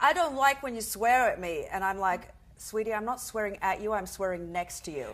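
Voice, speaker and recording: A woman speaks at a high pitch with very wide pitch swings and an animated tone. Noticeable background noise is present. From Australia. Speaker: comedian and author. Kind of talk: talk show interview.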